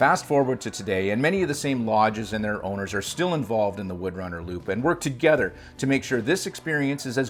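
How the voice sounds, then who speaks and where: A man talks at a very fast pace, his pitch swinging very widely. Noticeable background noise runs behind him. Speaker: snowmobile travel show host. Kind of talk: scripted narration.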